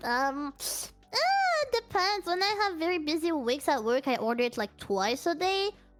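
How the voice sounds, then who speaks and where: Over music in the background, a woman talks at a high pitch with very wide pitch swings and very even loudness. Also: moderate pace. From France. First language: French. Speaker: streamer. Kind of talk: casual interview chat.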